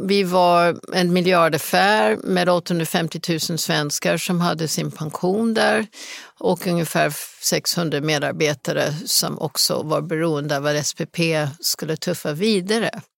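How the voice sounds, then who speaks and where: A woman's fairly low voice with vocal fry, in an English accent, at a very slow pace with ordinary pitch variation, the sound dry and close with no echo. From US Rocky Mountains. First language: English (speaking Swedish). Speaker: business executive. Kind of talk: interview.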